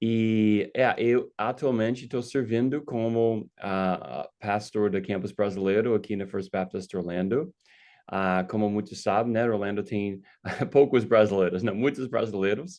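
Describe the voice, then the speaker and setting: Against a quiet background, a man with an American accent speaks at a fairly low pitch and a fairly slow pace with ordinary pitch variation. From United States. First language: English (speaking Portuguese). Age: 50s. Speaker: pastor. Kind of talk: casual chat. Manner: halting, with many fillers.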